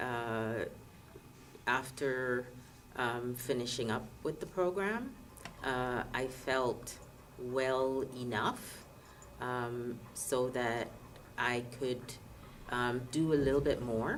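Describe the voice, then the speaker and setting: Over noticeable background noise, a woman with a very deep, low pitch speaks at a very slow pace with long, frequent pauses and fairly even intonation. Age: 50s. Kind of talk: interview answer. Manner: hesitant, many fillers.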